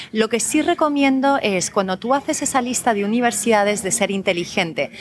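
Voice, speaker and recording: A woman with a Spanish accent and lively intonation. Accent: Spanish (Spain). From Colombia (Bogotá), raised abroad. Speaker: educational consultant. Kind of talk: interview. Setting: café.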